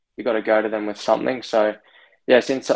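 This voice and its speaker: A man with an Australian accent and a medium pitch, talking at a fairly quick pace. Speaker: racing driver. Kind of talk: interview.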